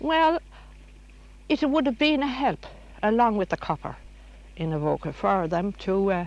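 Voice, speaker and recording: In a quiet background, a woman speaks at a moderate pace with a rural Irish accent. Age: 70s. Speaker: local resident. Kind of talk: interview.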